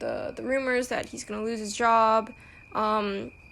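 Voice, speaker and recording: A woman with a fairly high pitch and an American accent, at a moderate pace, with fairly even intonation. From United States. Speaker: podcast host. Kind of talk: casual solo podcast talk. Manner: casual, many fillers and restarts.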